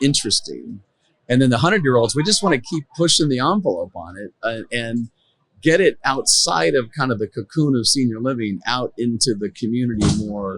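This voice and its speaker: This man has a normal speaking voice at a medium pitch. His intonation is lively and his pace fairly quick. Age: 60s. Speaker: tech entrepreneur and storyteller. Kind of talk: casual interview chat. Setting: conference booth.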